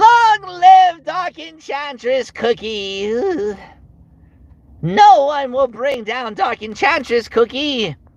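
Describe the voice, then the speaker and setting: A high-pitched, put-on character voice speaks at a very slow pace. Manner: villainous, commanding.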